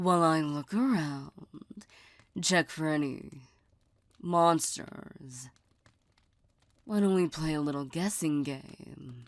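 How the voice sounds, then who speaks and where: Using a put-on character voice, a woman speaks at a very slow pace with a very deep, low pitch and long, frequent pauses. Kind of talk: ASMR roleplay. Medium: solo performance. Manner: soft, teasing, intimate.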